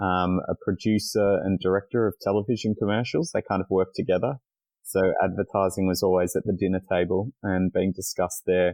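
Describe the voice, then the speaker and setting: With an Australian accent, a man talks at a fairly quick pace in a very deep, low pitch, his loudness very even throughout. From Australia, Melbourne. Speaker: communications planner. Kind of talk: podcast interview.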